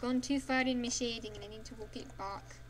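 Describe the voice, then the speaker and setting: This woman talks at a moderate pace. There is noticeable background noise and audible room echo. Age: 20s. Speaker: livestreaming artist. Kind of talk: casual chat while drawing on stream. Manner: monotone; subdued, less dynamic while focusing.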